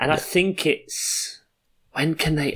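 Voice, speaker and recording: A man talks in an English accent. The recording is very clean, with a silent background. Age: 20s. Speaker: podcast co-host. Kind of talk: casual chat.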